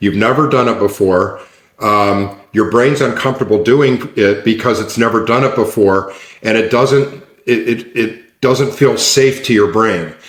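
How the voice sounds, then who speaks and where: An unremarkable speaking voice with fairly even intonation carries the words. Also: man. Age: 60s. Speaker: neuroscience coach. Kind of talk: interview conversation. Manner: repetitive restarts.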